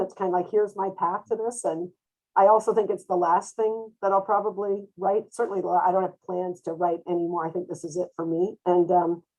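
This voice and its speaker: A woman with a Canadian accent and a normal speaking voice, at a fairly quick pace. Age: 60s. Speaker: therapist. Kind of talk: panel discussion.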